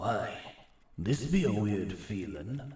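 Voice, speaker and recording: A man's put-on character voice, fairly low in pitch, with a slight echo. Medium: actual play. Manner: courteous, mercenary, candid.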